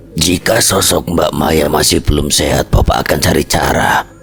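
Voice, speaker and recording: A man uses a put-on character voice that is raspy, with a very deep, low pitch at a moderate pace. Clear background noise is present. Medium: read story. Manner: calm, measured.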